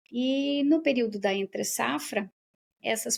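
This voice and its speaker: A woman speaks with lively intonation in a southern Brazilian accent. The sound is dry and close, with no echo. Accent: southern Brazilian (gaúcho). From southern Brazil, Rio Grande do Sul. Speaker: professor and researcher. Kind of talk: interview conversation.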